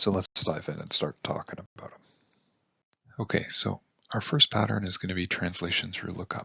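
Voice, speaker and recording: Someone is whispering at a moderate pace. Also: man. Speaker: university instructor. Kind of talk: lecture.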